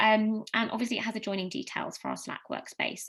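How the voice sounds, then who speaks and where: The voice carries vocal fry. It moves at a very fast pace. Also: woman. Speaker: customer advocacy team member presenting at a conference. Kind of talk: conference presentation. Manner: hesitant, many fillers.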